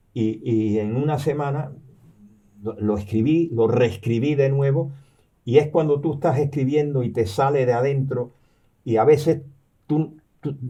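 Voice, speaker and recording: Somewhat breathy and dark, mellow in tone, a man at medium pitch speaks fairly slowly with long, frequent pauses. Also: ordinary pitch variation. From Cuba, raised there after birth in New York. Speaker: retired professor and novelist. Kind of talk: interview. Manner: halting, many repetitions and fillers.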